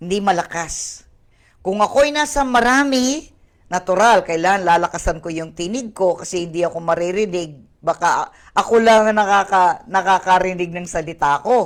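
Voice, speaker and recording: Her intonation is lively at a moderate pace. The woman's pitch sits in the medium range. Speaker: pastor. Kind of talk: online Bible study sermon. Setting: online video stream. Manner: code-switching Tagalog and English.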